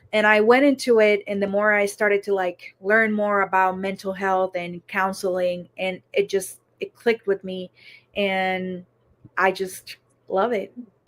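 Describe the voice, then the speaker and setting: A woman with a slight Puerto Rican accent, fairly slow and monotone with flat intonation, in a dry, close sound with no echo. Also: medium pitch for a woman. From Puerto Rico. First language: Spanish. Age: 30s. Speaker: counselor in training. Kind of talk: interview.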